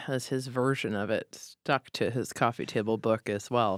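In a very clean recording with a silent background and a dry, close sound with no echo, a woman with an American accent talks fairly slowly. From Boston, US. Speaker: real estate marketing executive. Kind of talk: interview.

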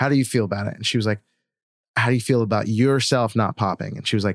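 A man with an American accent and an ordinary speaking voice talks at a fairly low pitch with fairly even intonation. The recording is very clean, with a silent background and a dry, close sound with no echo. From West Virginia. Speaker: singer-songwriter. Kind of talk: casual interview chat.

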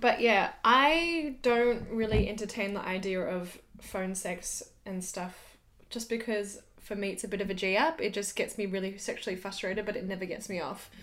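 With an Australian accent, a woman speaks at a medium pitch with ordinary pitch variation. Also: moderate pace. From Australia (Sydney). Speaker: podcast co-host. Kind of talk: casual chat.

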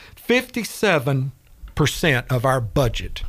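This man talks fairly slowly in a Southern US accent, at a medium pitch. His voice is somewhat breathy. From Chattanooga, Tennessee. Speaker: city council member. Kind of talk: radio interview.

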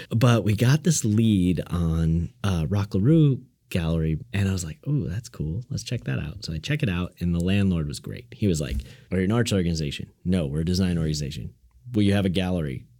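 A man's very deep, low voice with a dark, mellow tone, lively intonation, a fairly quick pace and an American accent. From Illinois, US Midwest. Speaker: design studio co-founder. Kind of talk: casual interview.

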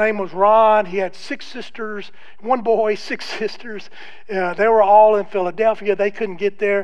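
A man's high voice with fairly even intonation at a moderate pace, with audible room echo. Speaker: guest preacher. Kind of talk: sermon. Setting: church. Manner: subdued, less loud than usual.

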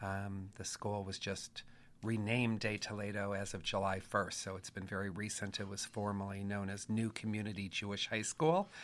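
A man speaks in a fairly low pitch with an American accent. His intonation is monotone and flat. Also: moderate pace, very clean recording, silent background. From Los Angeles area. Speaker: rabbi and high school teacher. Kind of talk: panel interview.

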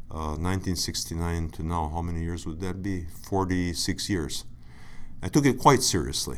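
A man's very deep, low voice with an American accent and ordinary pitch variation. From Buffalo, New York, US. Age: 50s. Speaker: alumnus, sinology patron. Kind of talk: interview storytelling. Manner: halting, many fillers.

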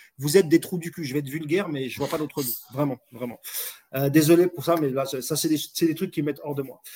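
A man talks very fast at a fairly high pitch. His voice is somewhat breathy, with ordinary pitch variation. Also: big swings in loudness. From France, Moroccan heritage. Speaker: football podcast host. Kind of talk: casual chat. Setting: live stream.

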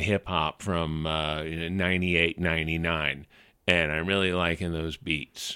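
A man speaks with an American accent and a bright, sharp tone. The recording is very clean, with a silent background. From US South, New Orleans. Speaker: radio host and magazine editor. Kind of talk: interview.

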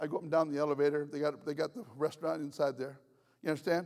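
The voice is animated and moves at a very fast pace. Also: man. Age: 70s. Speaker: travelling prophet and preacher. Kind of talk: sermon.

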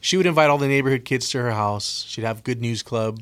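Recorded very cleanly over a silent background, a man with an ordinary speaking voice talks at medium pitch with ordinary pitch variation. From US West Coast, Oxnard, California. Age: 40s. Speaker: former addict sharing testimony. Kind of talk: testimony. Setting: radio studio.

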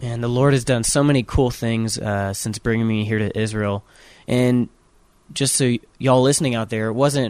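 A man's ordinary speaking voice at medium pitch, fairly quick in pace and fairly even in intonation, on a very clean recording with a silent background. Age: 20s. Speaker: songwriter and son of the host. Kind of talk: casual interview. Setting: on tour in Jerusalem.

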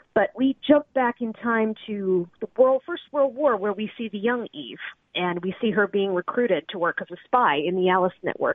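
With an ordinary speaking voice, a woman speaks at a fairly high pitch and moderate pace, using lively intonation and hardly any pauses. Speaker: historical novelist. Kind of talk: interview.

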